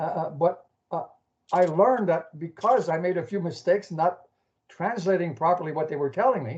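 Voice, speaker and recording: A man's high voice in a French accent, at a fairly quick pace with ordinary pitch variation. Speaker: caller. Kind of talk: casual chat. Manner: halting.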